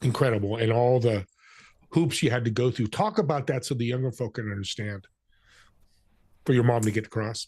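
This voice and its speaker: Against a quiet background, a somewhat breathy man with a medium pitch speaks at a moderate pace. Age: 60s. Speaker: podcast co-host. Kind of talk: casual interview.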